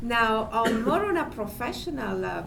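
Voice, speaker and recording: A woman with an Italian accent speaks at a fairly slow pace with lively intonation. There is audible room echo and noticeable background noise. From Italy. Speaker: panelist. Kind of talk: panel discussion.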